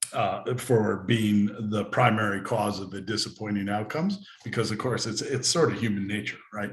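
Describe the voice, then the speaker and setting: A man with an American accent talks at a fairly low pitch, somewhat breathy, with fairly even intonation. Audible room echo surrounds his voice. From United States. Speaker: insurance CEO. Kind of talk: interview. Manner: hesitant, many fillers.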